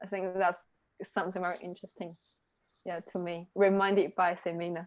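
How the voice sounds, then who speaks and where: In a Chinese accent, a woman speaks with monotone, flat intonation. Her pace is fairly quick. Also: medium pitch for a woman. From China. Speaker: reading group co-leader. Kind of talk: casual discussion. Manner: halting.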